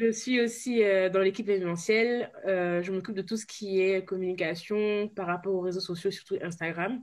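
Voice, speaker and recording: A woman with a plain, everyday voice talks in a medium pitch at a moderate pace. Her intonation is fairly even, with hardly any pauses. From Ivory Coast / Cape Verde heritage. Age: 20s. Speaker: cake designer, social media volunteer. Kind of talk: interview.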